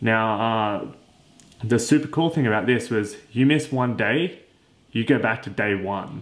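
With a normal speaking voice, a man talks at a medium pitch and a fairly slow pace, with ordinary pitch variation. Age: 20s. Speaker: fitness podcast host. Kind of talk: solo podcast monologue. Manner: casual, conversational.

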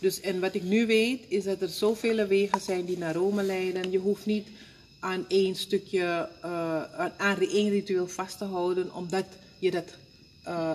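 Very slow female speech at a medium pitch, intonation fairly even. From Suriname. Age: 50s. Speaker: spiritual counselor and funeral home worker. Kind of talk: interview. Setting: at her workplace, a funeral home.

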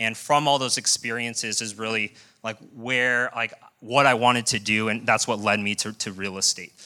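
Bright, sharp tone from a man with an American accent, moderate pace, very clean recording and silent background. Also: medium pitch for a man, fairly even intonation. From US, Colorado. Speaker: program alumnus speaker. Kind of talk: personal testimony speech. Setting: live event with audience in a room.

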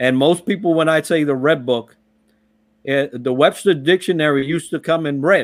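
Ordinary pitch variation runs through a man's fairly high-pitched speech. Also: moderate pace. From Puerto Rico and the Bronx, New York. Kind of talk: casual interview chat.

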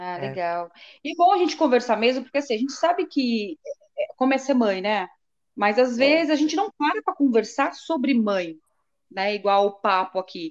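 Her voice is high in pitch, swinging very widely up and down, as the woman talks at a moderate pace. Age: 40s. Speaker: mother. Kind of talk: casual chat.

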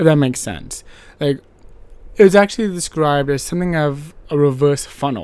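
This man talks at a fairly quick pace, his fairly high pitch moving with ordinary variation. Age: 30s. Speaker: gaming podcast host. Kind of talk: casual solo monologue. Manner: animated.

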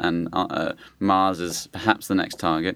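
A man speaks with a British accent at a very deep, low pitch and with fairly even intonation. The recording is very clean, with a silent background. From Britain. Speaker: space scientist. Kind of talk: interview.

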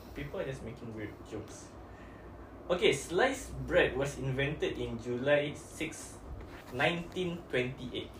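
A man with a Malaysian accent at a very slow pace, his loudness swinging widely. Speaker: podcast host. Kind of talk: casual chat.

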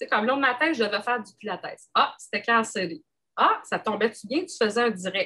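A woman with a Quebec accent speaks at a moderate pace. Her fairly high voice has lively intonation. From Quebec, Gaspésie. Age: 40s. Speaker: engineer and entrepreneur. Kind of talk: casual interview chat.

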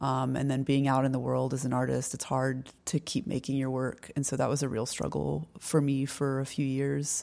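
A woman speaks in a very deep, low voice with a dark, mellow tone and fairly even intonation. The pace is moderate with hardly any pauses, and the recording is very clean over a silent background. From North Carolina. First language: French. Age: 40s. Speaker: artist and art teacher. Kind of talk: casual interview. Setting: in person at a house.

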